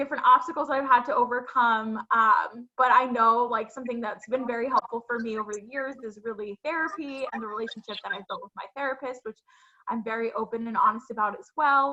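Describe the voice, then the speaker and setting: This woman has a high pitch and a bright, sharp tone. She talks at a fairly quick pace with hardly any pauses and big swings in loudness. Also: ordinary pitch variation. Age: 20s. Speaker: mental health advocate and author. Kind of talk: interview.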